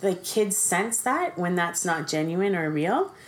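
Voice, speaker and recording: A woman with a Canadian accent, medium pitch and a very slow pace. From Ontario, Canada. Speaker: foster parent. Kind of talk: casual chat. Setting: at home around dining table.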